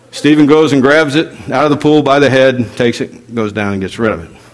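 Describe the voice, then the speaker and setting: Against noticeable background noise, a man with a fairly high pitch talks at a moderate pace. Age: 50s. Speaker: pastor. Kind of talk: sermon. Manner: animated.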